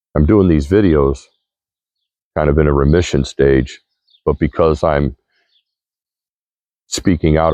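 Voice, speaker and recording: This man's voice is very deep and low-pitched, with a dark, mellow tone and very even loudness. He talks at a fairly slow pace with long, frequent pauses. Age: 60s. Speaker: vlogger. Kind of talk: monologue to camera. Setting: outdoors.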